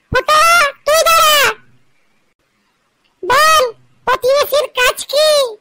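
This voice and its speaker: In a cartoonish character voice, a woman squeaks at an extremely high pitch, fairly slowly and with lively intonation, in a dry, close sound with no echo. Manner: curt, commanding.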